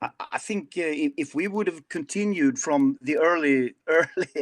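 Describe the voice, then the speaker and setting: A man with a Swedish accent and a high voice speaks with very wide pitch swings in a dry, close sound with no echo. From Sweden. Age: 50s. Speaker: rock singer. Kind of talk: interview. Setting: video call. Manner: halting.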